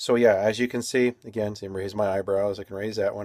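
Against a quiet background, a man speaks at a fairly quick pace. His voice is fairly low, with monotone, flat intonation. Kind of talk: casual video diary. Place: home room. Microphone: phone near.

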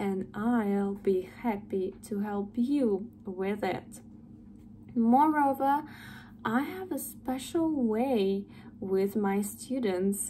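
Over light background noise, a woman with a Russian accent speaks very slowly in a somewhat breathy, dark, mellow tone with ordinary pitch variation. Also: fairly high pitch for a woman. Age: 20s. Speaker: English tutor. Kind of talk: sales pitch. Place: home room. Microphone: phone near.

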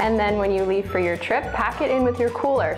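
Clear music plays behind a woman speaking. She talks at a fairly quick pace with ordinary pitch variation. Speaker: presenter. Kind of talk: tutorial. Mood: cheerful, upbeat. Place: home room. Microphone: lapel.

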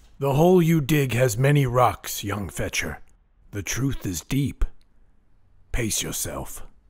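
Using a put-on character voice, a man talks at a fairly slow pace with a medium pitch and long, frequent pauses. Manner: cryptic, slow, sage-like.

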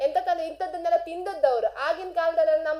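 A woman is speaking. She has a coastal Karnataka accent. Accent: Kundapura Kannada dialect. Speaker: radio host. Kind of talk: radio monologue. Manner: animated.

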